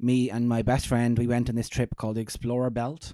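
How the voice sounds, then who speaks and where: With an Irish accent, a man of medium pitch has a dark, mellow tone on a very clean recording with a silent background. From Ireland. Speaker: comedian. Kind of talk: casual chat. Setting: in the host's house.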